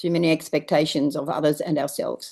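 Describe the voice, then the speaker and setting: A woman speaks in a very deep, low voice with an Australian accent. Her pace is moderate and the background quiet. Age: 70s. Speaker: permaculture teacher. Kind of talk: online Q&A.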